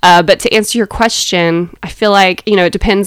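A woman speaks with a Southern US accent. The sound is dry and close, with no echo. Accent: Southern American. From US South, Athens, Georgia. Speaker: church member, podcast co-host. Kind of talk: casual chat about faith.

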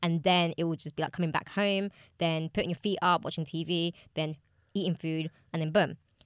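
A woman speaks fairly quickly in a fairly low pitch, with monotone, flat intonation. The sound is dry and close, with no echo. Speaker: podcast co-host. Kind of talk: casual chat.

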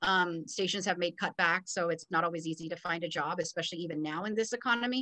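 Talking at a very fast pace with hardly any pauses, a woman with an American accent uses a fairly low pitch with ordinary variation. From Los Angeles. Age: 40s. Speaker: TV news producer. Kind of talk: interview.

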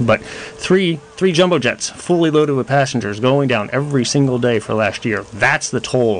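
Over noticeable background noise, a man of medium pitch speaks at a moderate pace with lively intonation and hardly any pauses. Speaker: doctor guest on radio show. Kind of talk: live radio talk show answering callers. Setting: studio.

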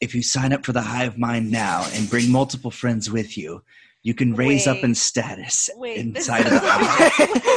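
A man's put-on character voice at medium pitch and moderate pace. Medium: actual play. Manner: calm, polite, salesy.

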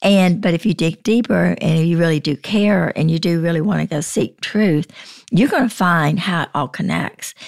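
A woman's voice with vocal fry, ordinary pitch variation and a moderate pace, in a dry, close sound with no echo. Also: fairly low pitch for a woman. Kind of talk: casual Bible discussion.

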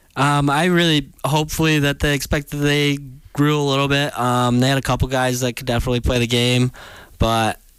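Speaking at a fairly quick pace with an American accent, a man uses fairly high pitch and monotone, flat intonation on a very clean recording with a silent background. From Michigan (West Olive). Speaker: college hockey player. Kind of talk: interview.

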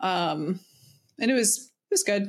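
A woman speaks at a moderate pace in a plain, everyday voice of medium pitch. The recording is very clean, with a silent background. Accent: American. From US South. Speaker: podcast co-host. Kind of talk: casual chat.

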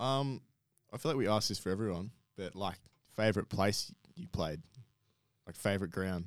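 Speaking with an Australian accent, a man uses a fairly low pitch and ordinary pitch variation at a moderate pace, with long, frequent pauses. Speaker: podcast co-host. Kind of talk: casual chat.

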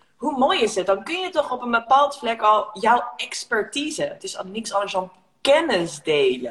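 Her fairly high voice swings very widely in pitch as the woman talks at a moderate pace. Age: 30s. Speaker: negotiation coach and entrepreneur. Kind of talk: casual chat. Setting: Instagram live video.

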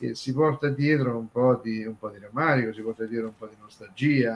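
A man at medium pitch, ordinary pitch variation, moderate pace, with noticeable background noise. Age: 60s. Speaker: music commentator. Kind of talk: casual chat.

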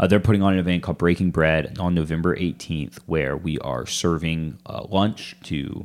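A man's very deep, low pitch with ordinary variation at a fairly quick pace, in a very clean recording with a silent background. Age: 20s. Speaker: church family pastor. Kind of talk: casual interview chat.

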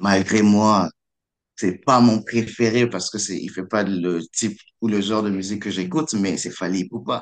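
Talking at a fairly slow pace, a man has a fairly low pitch with ordinary variation. The background is quiet. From DR Congo, Kinshasa. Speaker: student. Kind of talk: radio interview. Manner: halting, repeats words.

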